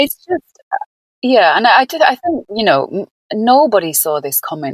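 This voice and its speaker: Here a woman speaks with a Lancashire accent at a moderate pace. The sound is dry and close, with no echo. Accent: northern English (Lancashire). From northern England, Burnley. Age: 50s. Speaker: yoga teacher and counsellor. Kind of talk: podcast interview, casual chat.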